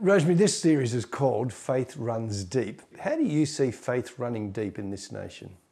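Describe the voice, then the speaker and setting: With hardly any pauses, a man in an unremarkable speaking voice talks at medium pitch and a moderate pace with lively intonation. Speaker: interviewer. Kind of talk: interview. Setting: home interview.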